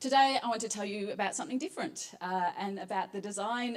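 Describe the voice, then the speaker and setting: A woman speaks in an Australian accent. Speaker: psychologist, competition finalist. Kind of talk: presentation pitch.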